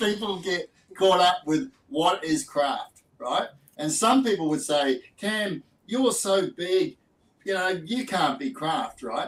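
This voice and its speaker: A man with an Australian accent speaks at a high pitch. He goes at a very slow pace, and his pitch swings very widely. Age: 60s. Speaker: distiller and podcast host. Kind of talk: casual chat.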